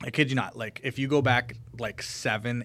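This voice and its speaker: Fairly even intonation marks this man's ordinary speaking voice. He keeps a moderate pace. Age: 20s. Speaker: realtor. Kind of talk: casual chat.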